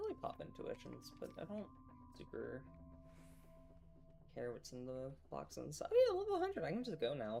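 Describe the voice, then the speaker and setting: Soft-spoken and at a fairly quick pace, the speaker leaves long, frequent pauses while music plays in the background. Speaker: streamer. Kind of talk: casual gaming stream chat.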